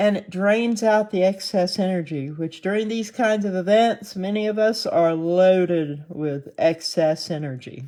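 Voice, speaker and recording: A woman with an American accent talks at a fairly slow pace with hardly any pauses, her medium-pitched voice dark and mellow in tone. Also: ordinary pitch variation. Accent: Southern twang, stronger in the morning. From US South. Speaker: online video host. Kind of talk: casual talk to camera. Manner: halting.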